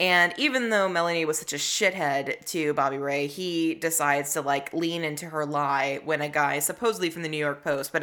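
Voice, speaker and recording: A woman speaks fairly quickly with an American accent. Her pitch is very deep and low, and her tone is bright and sharp. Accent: Southern accent mostly gone. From US South, Tennessee. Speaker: podcast co-host. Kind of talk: casual chat. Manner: animated.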